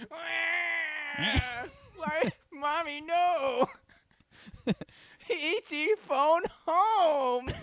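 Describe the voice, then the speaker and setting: A put-on character voice sounds high-pitched, shrill and whiny. It moves at a very slow pace with long, frequent pauses. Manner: whining, pleading.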